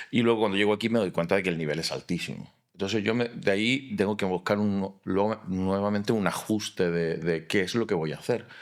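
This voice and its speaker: This man's voice sits fairly low, with ordinary pitch variation. He moves at a fairly quick pace with hardly any pauses. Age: 50s. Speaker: architect and fallas artist. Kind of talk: interview conversation.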